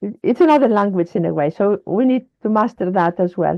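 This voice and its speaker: A woman speaking at a fairly quick pace, her intonation lively. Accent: Greek. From Greece. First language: Greek. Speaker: wellness advocate. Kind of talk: interview conversation. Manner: halting.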